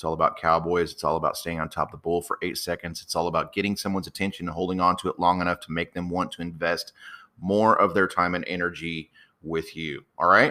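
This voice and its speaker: A man with an American accent talks at a very fast pace in a very deep, low voice. His tone is bright and sharp, with monotone, flat intonation. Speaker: podcast host, copywriter and acting coach. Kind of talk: solo podcast monologue. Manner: loud.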